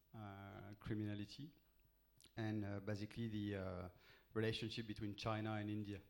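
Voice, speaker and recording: A man speaks with a French accent at a moderate pace. His fairly low voice stays monotone and flat. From France. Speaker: spy novelist, former intelligence officer. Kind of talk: live interview on stage. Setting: stage with audience. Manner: halting.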